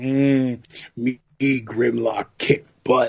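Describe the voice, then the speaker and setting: This man speaks in a put-on character voice. His pitch is medium. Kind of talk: broken speech. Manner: gruff, dumb.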